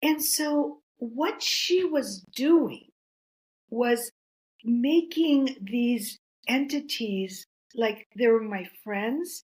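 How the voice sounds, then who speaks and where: Woman's high-pitched voice with a Greek accent and lively intonation, at a very slow pace. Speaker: author and counselor. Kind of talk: interview.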